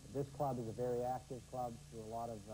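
Against light background noise, a man speaks at a fairly quick pace. His voice is somewhat breathy, with a dark, mellow tone. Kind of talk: interview answer. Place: hall. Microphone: lapel.

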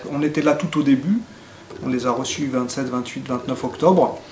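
A man speaks with ordinary pitch variation. Audible room echo and light background noise are in the recording. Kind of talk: interview answer.

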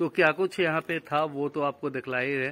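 A man's fairly high, fairly bright voice at a moderate pace, with fairly even intonation.

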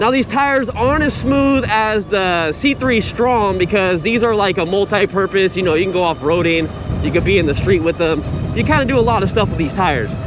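A man talks at a fairly quick pace. The sound is dry with no echo, with noticeable background noise. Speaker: e-bike reviewer. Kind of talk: casual ride-along commentary. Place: bicycle.

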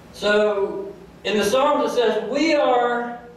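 A man talks very slowly at an extremely high pitch with ordinary pitch variation. Strong room echo and light background noise surround his voice. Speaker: pastor. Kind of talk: sermon delivered to a congregation. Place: church.

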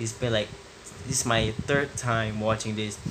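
A man's moderately paced speech amid noticeable background noise. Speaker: vlogger. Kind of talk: casual vlog chat. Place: home room. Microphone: phone near.

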